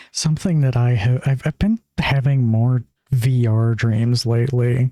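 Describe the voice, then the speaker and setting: A man's medium-pitched, dark, mellow, somewhat breathy voice at a fairly slow pace, with fairly even intonation, very even loudness and a dry, close sound with no echo. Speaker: streamer. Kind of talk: casual chat. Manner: monotone; hesitant, lots of fillers.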